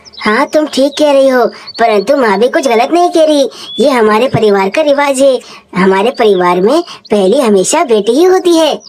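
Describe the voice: A woman performs a cartoonish character voice at a high pitch. She keeps a moderate pace.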